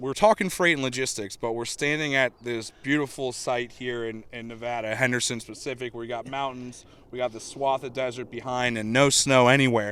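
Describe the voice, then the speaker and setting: A man speaks at a moderate pace and a medium pitch, with big swings in loudness. He has an unremarkable speaking voice. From Cleveland, Ohio. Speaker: podcast host. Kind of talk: podcast interview. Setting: outdoors at a golf course. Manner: casual, conversational.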